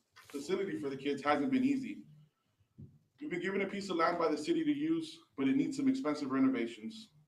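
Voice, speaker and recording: A loud man with an American accent, very fast delivery and very wide pitch swings, amid audible room echo. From Texas, Alice. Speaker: youth football coach and board member. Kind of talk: prepared statement read aloud at public meeting. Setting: county commissioners court meeting.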